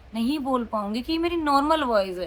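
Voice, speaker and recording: A loud, animated woman's voice, high in pitch with lively intonation, over noticeable background noise. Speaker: vlogger. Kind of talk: casual vlog talk.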